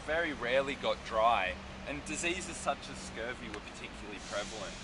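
A man's fairly quick speech comes with noticeable background noise behind it. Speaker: walking tour guide. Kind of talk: tour guide commentary. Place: street. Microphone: phone near.

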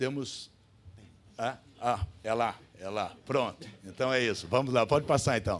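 A man talks at a fairly slow pace with ordinary pitch variation. Long, frequent pauses break up his speech. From Brazil. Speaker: professor and public health researcher. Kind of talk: conference talk with slides. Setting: auditorium with audience. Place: hall. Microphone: podium.

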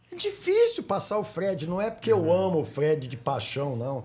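A man is speaking. His pace is fairly slow. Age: 60s. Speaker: sports broadcaster and podcast host. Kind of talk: casual interview. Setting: studio.

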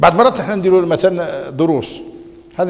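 A man talks with a Moroccan accent. His voice sits high in pitch. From Morocco. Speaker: Islamic scholar and preacher; preacher. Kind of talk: religious lecture.

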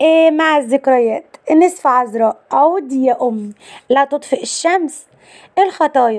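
Fairly slow speech in a Cairo accent with lively intonation. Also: woman. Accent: Egyptian Arabic (Cairene). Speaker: YouTube channel presenter. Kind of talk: narrated celebrity biography. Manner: list-like reading of film titles.

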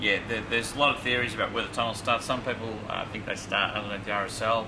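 Over noticeable background noise, a man speaks at a very fast pace with monotone, flat intonation. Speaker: presenter. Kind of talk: casual presenter commentary. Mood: playful, jokey. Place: shop.

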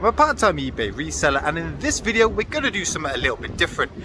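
There is noticeable background noise behind this man, and the sound is dry with no echo. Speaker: part-time online reseller. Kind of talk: casual vlog chat. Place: street. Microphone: phone near.

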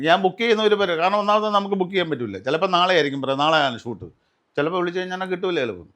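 A man speaks high in pitch with ordinary pitch variation. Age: 60s. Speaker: serial and film actor. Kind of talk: casual interview.

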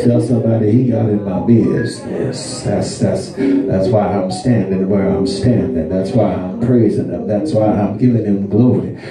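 Music plays in the background as a man speaks fairly slowly at a fairly low pitch with lively intonation, and the room echo is audible. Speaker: guest preacher. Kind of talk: sermon. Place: church. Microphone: camera far.

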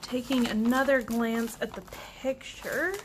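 A woman is heard over noticeable background noise. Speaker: crafter reviewing a kit. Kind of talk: casual unboxing commentary. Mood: disappointed. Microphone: camera far.

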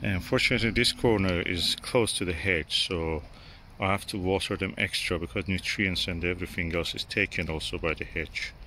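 At a moderate pace, a man speaks in a low pitch with ordinary pitch variation and a bright, sharp tone.

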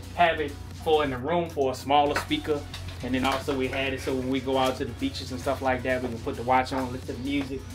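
A man talking at a fairly quick pace with ordinary pitch variation over music in the background. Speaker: travel vlogger. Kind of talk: casual vlog chat. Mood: upbeat, relaxed. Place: home room. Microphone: phone near.

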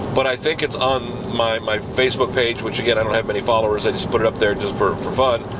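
A man talks fairly quickly while noticeable background noise continues. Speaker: video blogger. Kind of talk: casual video blog monologue. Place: car. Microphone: phone near.

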